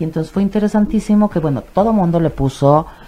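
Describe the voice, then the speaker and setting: A woman's somewhat breathy, dark, mellow voice at a fairly quick pace. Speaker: psychologist and sexologist. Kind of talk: radio interview. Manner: animated.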